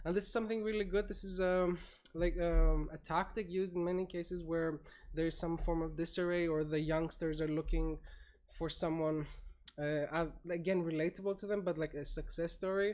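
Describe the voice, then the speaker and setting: In a normal speaking voice, a woman talks at a fairly quick pace with a fairly low pitch and fairly even intonation. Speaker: panel moderator. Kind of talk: panel discussion.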